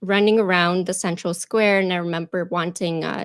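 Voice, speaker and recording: The speaker has a Russian accent and ordinary pitch variation. The recording is very clean, with a silent background and a dry, close sound with no echo. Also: woman. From Ukraine, Kharkiv. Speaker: YouTube presenter and actor. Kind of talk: interview. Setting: live stream.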